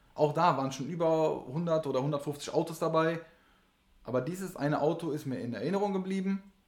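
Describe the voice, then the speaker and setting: A man's ordinary speaking voice, fairly high in pitch, with ordinary pitch variation at a fairly quick pace. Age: 30s. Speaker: race mechanic. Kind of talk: casual chat.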